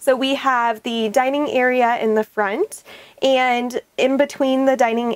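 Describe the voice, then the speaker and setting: A woman speaks at a very slow pace with fairly even intonation, her voice dry and free of echo. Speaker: van tour guide. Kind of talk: walkthrough tour commentary. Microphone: lapel.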